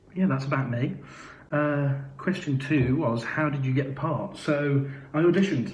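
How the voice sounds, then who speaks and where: Audible room echo surrounds a man speaking at a moderate pace in a fairly high voice. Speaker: musical theatre actor. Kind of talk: live Q&A. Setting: live video stream. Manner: hesitant, many fillers.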